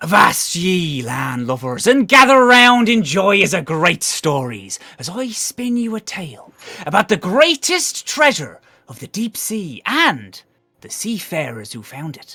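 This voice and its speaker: In a put-on character voice, a man speaks high with very wide pitch swings. His pace is fairly slow. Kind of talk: archaic pirate speech. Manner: over-the-top, theatrical, storytelling.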